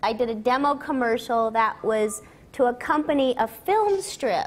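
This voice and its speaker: A woman speaks in a high pitch. Light background noise is present. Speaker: voice actress guest. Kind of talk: interview answer. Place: stage. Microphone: lapel.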